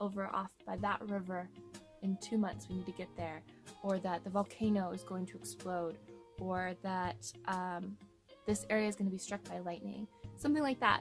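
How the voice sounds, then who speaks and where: Music plays in the background as a woman talks at a moderate pace in a medium pitch with lively intonation. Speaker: pagan witch teaching dream magic. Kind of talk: casual talk to camera.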